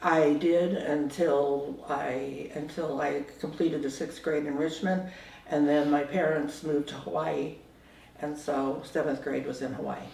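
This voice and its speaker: An American accent at a fairly slow pace, with noticeable background noise. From San Francisco Bay Area, California. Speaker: oral history interviewee. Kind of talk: oral history interview. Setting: at home.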